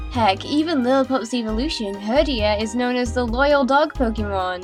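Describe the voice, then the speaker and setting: A woman with music in the background. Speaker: gaming video creator. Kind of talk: casual countdown commentary.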